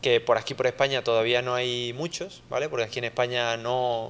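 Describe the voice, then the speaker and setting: Speaking at a fairly quick pace, a man with an Andalusian accent holds a medium pitch. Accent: Andalusian (Seville) accent, noticeable. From Spain, Seville. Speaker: software engineer, conference speaker. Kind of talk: conference talk. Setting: lecture hall with audience, handheld mic, streamed. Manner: conversational, many fillers.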